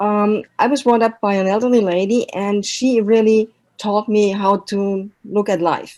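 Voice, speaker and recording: A woman's dark, mellow tone at a fairly high pitch, with a German accent, a fairly slow pace and fairly even intonation. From Germany. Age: old. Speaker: language and intercultural trainer, mentor. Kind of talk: online talk with slides.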